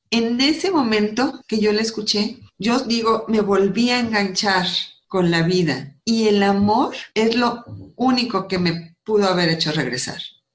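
A woman's fairly high voice with lively intonation, very even loudness and a fairly slow pace, plus audible room echo. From northern Mexico, Coahuila. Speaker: architect and author. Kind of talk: testimony.

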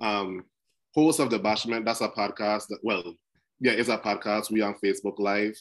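In a Crucian accent, a man talks at a moderate pace with a fairly low pitch, a fairly bright tone, and ordinary pitch variation. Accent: Caribbean, Crucian (Saint Croix).

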